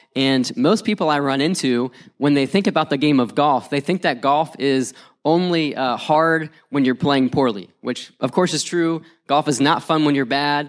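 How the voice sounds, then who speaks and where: On a very clean recording with a silent background, a man with an American accent and fairly high pitch uses an ordinary speaking voice at a moderate pace, with very even loudness and ordinary pitch variation. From West Virginia. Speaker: youth pastor. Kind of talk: conference talk.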